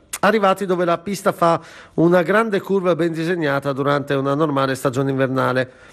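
A man with an ordinary speaking voice talks at a fairly quick pace in a fairly high pitch, with ordinary pitch variation. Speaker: regional news anchor. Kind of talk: news reading.

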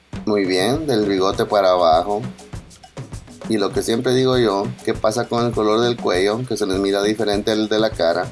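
With music in the background, a man in a Central American accent speaks at a moderate pace, fairly low in pitch, with ordinary pitch variation and very even loudness. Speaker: father doing comedic voiceover. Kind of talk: humorous makeup video voiceover. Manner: joking, playful.

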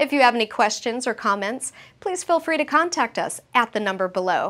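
A woman with a high pitch speaks at a moderate pace, her pitch swinging very widely. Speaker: show narrator and announcer. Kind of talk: scripted narration. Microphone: lapel.

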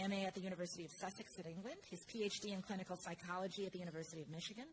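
Over light background noise, a somewhat breathy woman talks at a very fast pace with fairly even intonation. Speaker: conference host introducing speaker. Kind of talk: speaker introduction. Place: hall. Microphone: podium.

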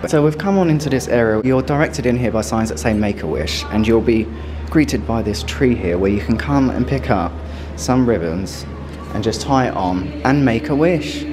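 With clear music in the background, a man with fairly low pitch speaks at a moderate pace. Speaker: travel vlogger. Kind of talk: casual vlog chat. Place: street. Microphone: phone near.

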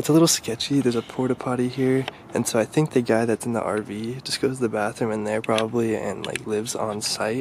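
Dry with no echo, a man's voice races at a very fast pace with hardly any pauses. His intonation stays fairly even over light background noise. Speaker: urban explorer vlogger. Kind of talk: casual vlog chat. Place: open country. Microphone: phone near.

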